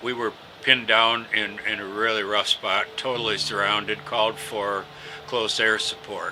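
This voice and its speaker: Over noticeable background noise, a man with an American accent talks at a fairly slow pace and a fairly low pitch. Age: 70s. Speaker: war veteran. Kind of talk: interview testimony. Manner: halting, many fillers.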